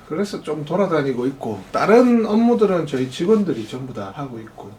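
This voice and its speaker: Pitch swinging very widely, this man speaks fairly quickly over noticeable background noise. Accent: Busan. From Gyeongsang region, South Korea (Busan area). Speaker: restaurant franchise owner. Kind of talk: interview.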